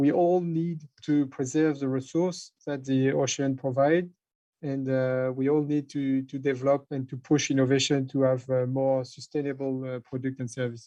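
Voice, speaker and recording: Speaking in a French accent, a man holds a medium pitch at a moderate pace, his dark, mellow tone delivered in a monotone, flat intonation. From France. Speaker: maritime industry representative. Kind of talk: panel discussion. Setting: online conference. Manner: halting.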